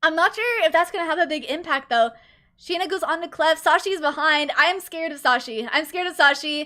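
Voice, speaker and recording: A woman's raised, projected voice sits at an extremely high pitch, bright and sharp. She moves at a fairly quick pace with ordinary pitch variation. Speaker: vtuber streamer casting esports. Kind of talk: live commentary costream. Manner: slurs words sometimes; animated.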